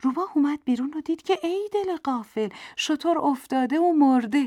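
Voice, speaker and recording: Speech at a moderate pace comes through on a very clean recording with a silent background and a dry, close sound with no echo. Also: woman. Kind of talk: storytelling narration of a children's fable. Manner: animated, playful, voicing the flattering fox and the boastful lion.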